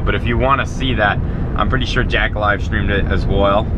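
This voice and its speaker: Loud background noise runs behind a man speaking at a moderate pace. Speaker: car vlogger driving. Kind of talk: casual vlog chat. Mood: amused, casual storytelling. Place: car. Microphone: camera far.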